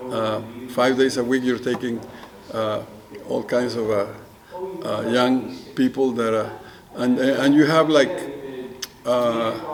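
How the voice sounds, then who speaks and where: The man's voice sits at a medium pitch, slow-paced with fairly even intonation. Long, frequent pauses break his speech amid noticeable background noise. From Mexico. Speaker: photographer. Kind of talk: oral history interview answer.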